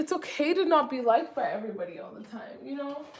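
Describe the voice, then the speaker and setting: Lively intonation marks a woman's high-pitched voice. Noticeable background noise and audible room echo are present. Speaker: lifestyle vlogger. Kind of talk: casual chat. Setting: kitchen, cooking while talking. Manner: casual, filler-heavy.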